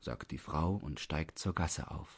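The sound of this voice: Speaking slowly at an extremely low pitch with ordinary pitch variation, a man has a slightly husky edge in a very clean recording with a silent background.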